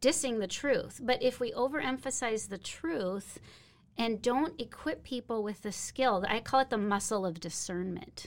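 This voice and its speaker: In a normal speaking voice, a woman with an American accent talks at a moderate pace, fairly high in pitch and lively in intonation, in a very clean recording with a silent background. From Minnesota, US. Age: 50s. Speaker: missionary. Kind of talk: interview. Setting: studio.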